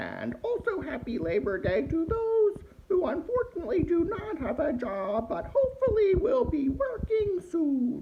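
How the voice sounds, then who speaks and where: In an extremely high, put-on character voice, the speaker moves at a moderate pace with hardly any pauses and very wide pitch swings. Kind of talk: comedic holiday greeting to camera. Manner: sassy, mouthy.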